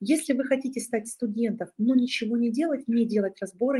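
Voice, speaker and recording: A woman speaks at a fairly high pitch with ordinary pitch variation, her tone dark and mellow and somewhat breathy. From southern Russia, Rostov region. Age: 30s. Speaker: psychologist and online course founder. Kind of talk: webinar presentation. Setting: live online webinar.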